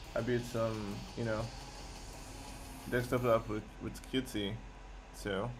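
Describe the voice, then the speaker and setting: A man speaks at a very slow pace with long, frequent pauses. His medium-pitched voice carries vocal fry and a monotone, flat intonation. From Nigeria. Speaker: software developer streamer. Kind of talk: live coding stream chat. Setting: live stream. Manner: halting, many repetitions and fillers.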